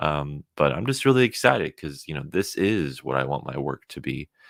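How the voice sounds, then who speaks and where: The sound is dry and close, with no echo. A man with a very deep, low pitch talks at a moderate pace. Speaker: comic book creator streamer. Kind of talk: live stream chat. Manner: monotone.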